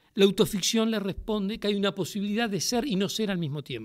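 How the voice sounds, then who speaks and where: At a moderate pace, a man talks in a high-pitched voice. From Uruguay, Montevideo; Uruguay. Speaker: playwright and theatre director. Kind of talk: public interview before a university audience. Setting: lecture hall with audience. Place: classroom. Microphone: podium.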